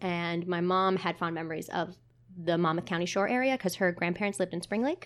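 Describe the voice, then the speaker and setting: On a very clean recording with a silent background, a woman with an American accent and a plain, everyday voice talks at a fairly quick pace, her pitch fairly low and her intonation fairly even. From New Jersey (Montclair). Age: 20s. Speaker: theater marketing manager. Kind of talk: casual chat.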